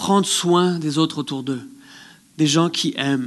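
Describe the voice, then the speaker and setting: Against a quiet background, a man speaks with lively intonation. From place without snow, outside Quebec. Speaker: guest preacher. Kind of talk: sermon. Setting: theatre with congregation. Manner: halting, many repetitions.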